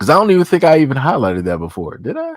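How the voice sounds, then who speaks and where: A man's relaxed voice, fairly high-pitched, with very wide pitch swings and a dry, close sound free of echo. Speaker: live streamer. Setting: live stream. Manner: casual, relaxed.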